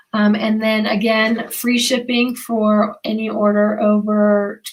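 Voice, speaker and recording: This woman's voice sits fairly high and is somewhat breathy, with fairly even intonation. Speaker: online craft seller. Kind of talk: live sales stream. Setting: livestream.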